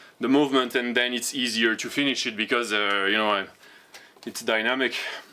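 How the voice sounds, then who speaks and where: French-accented male voice, bright and sharp in tone, with fairly even intonation and audible room echo. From France. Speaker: fitness vlogger. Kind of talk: casual vlog talk. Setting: outdoor home gym. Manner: halting, many repetitions and fillers.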